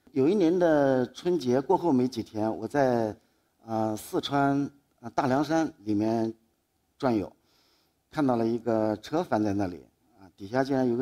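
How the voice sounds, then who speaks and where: A man's dark, mellow tone at a moderate pace, with lively intonation, big swings in loudness and a quiet background. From Anhui, Dingyuan county (Chuzhou); Anhui. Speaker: photographer. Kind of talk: public talk; public talk storytelling. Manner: halting. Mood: calm, reflective, lightly humorous. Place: stage. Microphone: headset.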